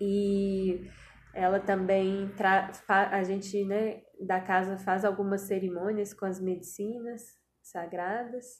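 A woman with a somewhat breathy voice at medium pitch speaks very slowly in a monotone, flat delivery. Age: 20s. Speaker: physician, integrative medicine and yoga teacher. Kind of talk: interview conversation.

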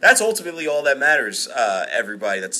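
This man's pitch swings very widely as he talks. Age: 30s. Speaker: podcast host. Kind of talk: casual chat. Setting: recorded live.

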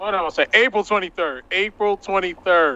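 Recorded dry and close with no echo, a man speaks at a fairly quick pace in a bright, sharp tone. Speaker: podcast co-host. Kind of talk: casual chat.

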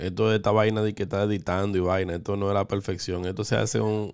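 Speaking at a very fast pace, a man talks with a fairly low pitch. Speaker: podcast co-host. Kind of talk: casual chat.

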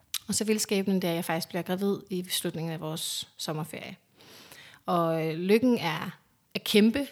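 A woman has an ordinary speaking voice at a medium pitch. She talks at a moderate pace with ordinary pitch variation. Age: 30s. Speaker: interviewee sharing fertility story. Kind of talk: personal testimony. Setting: at home.

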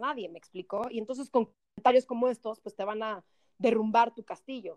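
A woman speaks with a fairly high pitch and an energetic tone. The sound is dry and close, with no echo. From Mexico. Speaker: actress and TV presenter. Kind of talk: casual chat.

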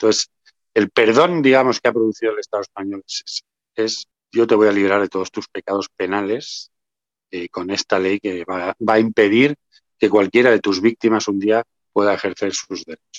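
This man has an ordinary speaking voice, fairly low in pitch, with ordinary pitch variation at a moderate pace. The sound is dry and close, with no echo. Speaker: association president, memory activist. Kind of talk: interview.

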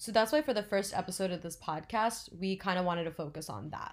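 A woman with an American accent and an unremarkable speaking voice, medium in pitch, with lively intonation. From New Jersey. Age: 20s. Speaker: podcast co-host, pre-med student. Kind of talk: informational talk; casual chat.

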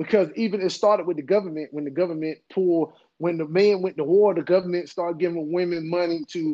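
This man talks at a very fast pace in a North Carolina accent. His pitch is high and his intonation fairly even. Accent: Southern US (North Carolina). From US South, Henderson, North Carolina. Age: 40s. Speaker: preacher. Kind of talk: casual interview.

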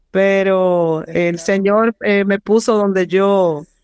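A woman's medium-pitched, monotone, flat delivery at a very slow pace, dry and close with no echo. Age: 50s. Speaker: physician. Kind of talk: interview.

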